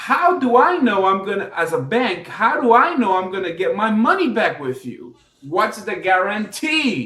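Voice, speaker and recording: At a fairly slow pace with hardly any pauses, a man uses a raised, projected voice, high in pitch, with very wide pitch swings. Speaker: business credit educator. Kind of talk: unscripted tutorial.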